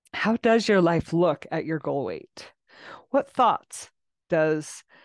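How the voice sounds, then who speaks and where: Over a quiet background, a woman speaks at a very slow pace in a soothing, calm tone with lively intonation. The sound is dry and close with no echo. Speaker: podcast host and coach. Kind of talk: guided meditation. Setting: video recording for YouTube and podcast. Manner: soothing, slow and calm; gentle, coaxing and unhurried.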